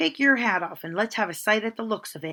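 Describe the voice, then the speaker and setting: A put-on character voice rattles along at a very fast pace. It sounds raspy, with lively intonation. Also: woman. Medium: read story. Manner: curt, brisk.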